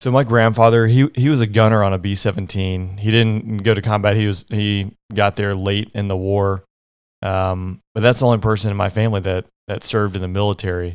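On a very clean recording with a silent background, a man with a plain, everyday voice and an American accent talks at a fairly quick pace in a fairly low pitch. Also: fairly even intonation. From Georgia, US South. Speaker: former fighter pilot. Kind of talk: interview.

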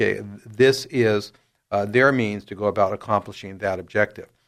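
Over a very clean recording with a silent background, a man with an American accent uses a normal speaking voice at a fairly low pitch, moderate pace, and fairly even intonation. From San Diego, California. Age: 60s. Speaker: attorney. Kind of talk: interview.

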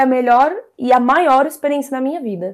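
A woman's high-pitched voice at a moderate pace. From Brazil, São Paulo (Zona Norte). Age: 20s. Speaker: product designer. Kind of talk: casual interview. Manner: halting, many fillers.

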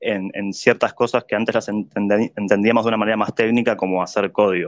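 A man with a normal speaking voice, medium pitch and fairly quick pace, over a quiet background. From Argentina, Buenos Aires. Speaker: NFT artist and community figure. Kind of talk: casual chat.

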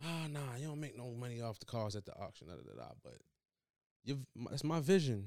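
At a fairly quick pace, a man talks at a medium pitch with lively intonation and big swings in loudness. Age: 30s. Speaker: podcast co-host. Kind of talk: casual chat.

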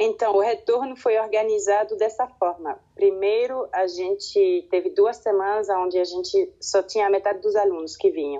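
A woman in a Swiss French accent at a moderate pace. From French-speaking Switzerland. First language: French (speaking Portuguese). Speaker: kindergarten teacher. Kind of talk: interview. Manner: halting, repeats words.

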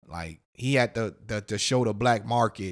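This man has an ordinary speaking voice at medium pitch, talking at a moderate pace on a very clean recording with a silent background. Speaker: podcast host. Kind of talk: heated debate. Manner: loud, combative, profane.

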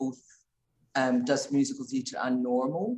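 A woman with a Scottish accent speaks at a moderate pace. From Scotland, Glasgow. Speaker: intensive care doctor. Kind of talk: interview.

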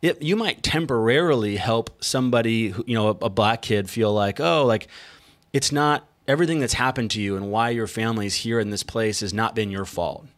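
On a very clean recording with a silent background, a plain, everyday voice speaks with an American accent, its pitch varying in an ordinary way. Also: man, medium pitch for a man, fairly quick pace. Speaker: podcast host. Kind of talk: casual interview.

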